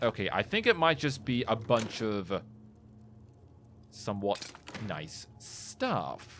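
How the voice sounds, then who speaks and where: The speech moves at a very slow pace, with long, frequent pauses. Its intonation is lively. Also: man. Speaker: gaming video creator. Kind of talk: let's play commentary. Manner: excitable.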